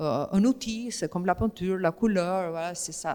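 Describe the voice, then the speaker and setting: With an Albanian accent, a woman speaks at a fairly slow pace, her medium pitch showing ordinary variation. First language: Albanian (speaking French). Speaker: writer and painter. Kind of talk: literary interview on stage. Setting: stage with audience in a museum gallery. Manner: hesitant, many fillers.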